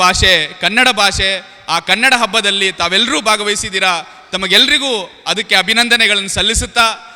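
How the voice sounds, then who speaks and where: Against noticeable background noise, a man speaks in a raised, projected voice with an Urdu accent, ordinary pitch variation and very even loudness. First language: Urdu (speaking Kannada). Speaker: public speaker. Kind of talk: public speech. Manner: formal.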